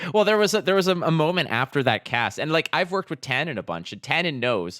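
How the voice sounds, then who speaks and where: A man talks at a very fast pace with a bright, sharp tone, fairly high pitch, vocal fry and lively intonation, in a very clean, dry, close recording with a silent background and no echo. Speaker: esports caster. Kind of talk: casual chat. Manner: animated.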